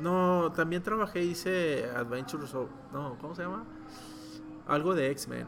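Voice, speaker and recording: A man with a fairly high pitch talks at a fairly slow pace, using ordinary pitch variation and long, frequent pauses. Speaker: comic book artist. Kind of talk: interview.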